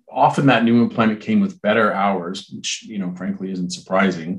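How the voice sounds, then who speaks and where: In a Canadian accent, a man talks at a moderate pace in a normal speaking voice, his pitch fairly low with ordinary variation. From Ontario, Canada (Brantford). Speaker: hospitality recruitment executive. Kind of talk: interview.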